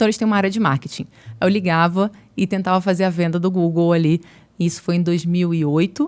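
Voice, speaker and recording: A woman speaks at a fairly quick pace in a fairly low pitch. Her loudness stays very even and her intonation fairly even. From Brazil, Niterói (Rio de Janeiro state). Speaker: marketing executive. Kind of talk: podcast interview.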